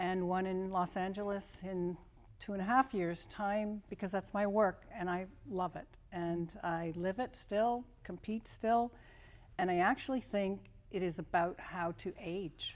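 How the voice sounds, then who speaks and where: A woman speaks at a medium pitch with fairly even intonation, at a fairly slow pace. It is a plain, everyday voice. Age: 60s. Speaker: former Olympian and kinesiology professor. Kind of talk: panel interview.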